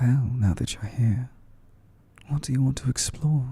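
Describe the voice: A man puts on a character voice, breathy and soft-spoken. His pitch is medium and his pace moderate.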